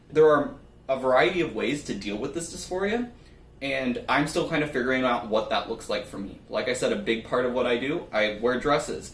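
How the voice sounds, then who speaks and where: Audible room echo surrounds a man speaking at a moderate pace, his medium pitch showing ordinary variation. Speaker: nonbinary YouTuber. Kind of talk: personal vlog monologue.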